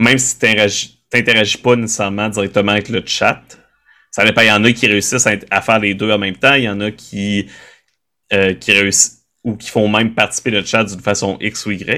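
Speaking at a fairly quick pace with long, frequent pauses, the man has a bright, sharp tone, fairly low pitch and monotone, flat intonation. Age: 30s. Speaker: tabletop role-playing game creator and streamer. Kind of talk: casual interview conversation.

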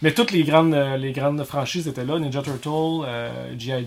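The speaker has a Quebec accent and a fairly slow pace. The intonation stays fairly even. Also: man. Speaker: YouTuber. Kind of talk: casual chat. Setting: garage.

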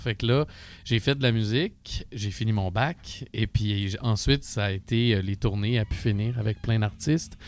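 Recorded very cleanly against a silent background, a man talks at a fairly slow pace in a plain, everyday voice, fairly low in pitch with ordinary pitch variation. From Quebec (Asbestos area). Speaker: musician and studio owner. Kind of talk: casual chat.

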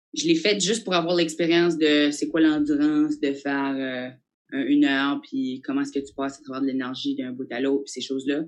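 Speaking at a fairly quick pace, the woman's pitch swings very widely. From New Brunswick, Acadia. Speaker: comedian. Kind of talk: casual interview.

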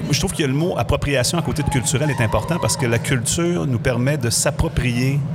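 The speech moves at a fairly quick pace with very even loudness. Noticeable background noise and audible room echo are present. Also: man, fairly high pitch for a man, ordinary pitch variation, hardly any pauses. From Quebec, Saguenay (Chicoutimi). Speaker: radio host. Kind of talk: casual chat.

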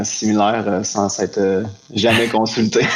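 A man talks at a fairly low pitch in a monotone, flat delivery. The room echo is audible, and there is noticeable background noise. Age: 30s. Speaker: photographer and colorist. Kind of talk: casual interview.

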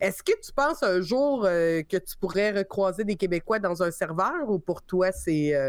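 An unremarkable speaking voice from a woman at medium pitch, with lively intonation, a fairly slow pace and hardly any pauses. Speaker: podcast host. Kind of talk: casual chat.

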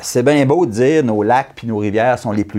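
A normal speaking voice from a man, lively intonation at a moderate pace. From Quebec, Abitibi. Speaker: election candidate. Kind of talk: political interview.

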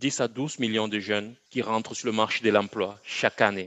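A man's voice at medium pitch, with fairly even intonation and a moderate pace. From Cameroon (Bafoussam, Central Africa). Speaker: agricultural education entrepreneur. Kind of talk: interview. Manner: halting, repeats words.

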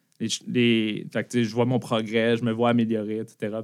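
On a very clean recording with a silent background, someone with a Quebec accent speaks at a moderate pace. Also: man. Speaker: tech company founder and former teacher. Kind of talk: interview.

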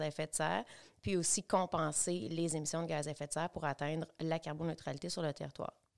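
The recording is very clean, with a silent background. A woman speaks in a very deep, low pitch with fairly even intonation. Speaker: local development coordinator. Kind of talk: casual interview chat.

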